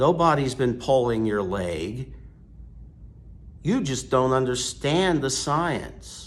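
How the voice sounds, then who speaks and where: A man of medium pitch with lively intonation, a very slow pace, long, frequent pauses and audible room echo. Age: 60s. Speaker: priest. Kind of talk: sermon. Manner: forceful.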